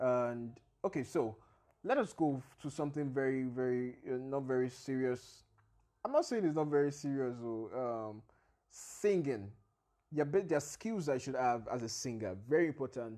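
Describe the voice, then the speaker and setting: A man with an unremarkable speaking voice talks at a medium pitch and a moderate pace. His pitch varies in an ordinary way over a quiet background. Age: 20s. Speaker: podcast host. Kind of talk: monologue on career advice. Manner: casual, laughing.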